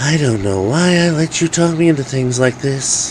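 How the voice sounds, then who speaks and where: A man uses a shrill, put-on character voice at a fairly high pitch. He talks at a moderate pace, and background noise is clearly heard. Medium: read story.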